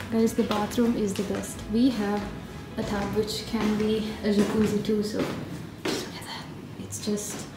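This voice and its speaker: Audible room echo surrounds a woman speaking at a fairly slow pace, with clear music in the background. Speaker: travel vlogger. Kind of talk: casual vlog chat. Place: home room. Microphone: phone near.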